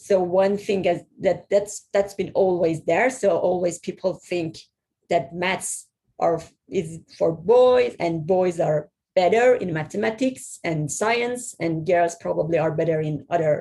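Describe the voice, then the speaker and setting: Ordinary pitch variation in a dark, mellow tone. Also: woman, fairly low pitch for a woman. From Iran. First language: Persian. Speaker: software/security professional. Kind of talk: presentation talk. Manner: halting, many repetitions.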